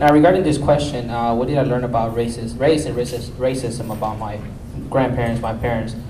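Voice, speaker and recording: A man with a Spanish accent at medium pitch, fairly quick, with ordinary pitch variation, audible room echo and noticeable background noise. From Mexico, Mexico City. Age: young. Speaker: panelist. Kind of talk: panel discussion. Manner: halting, many fillers and repetitions.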